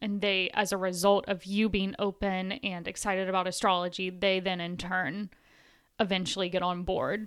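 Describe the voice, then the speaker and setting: A woman at medium pitch, monotone and flat, on a very clean recording with a silent background. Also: moderate pace. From Tennessee. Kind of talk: casual chat.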